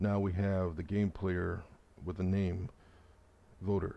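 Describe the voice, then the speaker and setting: A man with a very deep, low pitch and a dark, mellow tone talks at a moderate pace. His intonation is monotone and flat, over a quiet background. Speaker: congressional candidate. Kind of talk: political explainer talk to camera.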